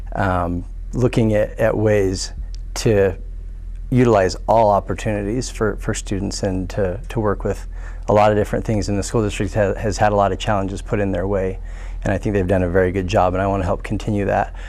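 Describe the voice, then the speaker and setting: A man with an American accent talks at a fairly quick pace, with audible room echo. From Pocatello, Idaho. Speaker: school board candidate. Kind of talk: candidate forum answer. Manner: hesitant, many fillers and repeats.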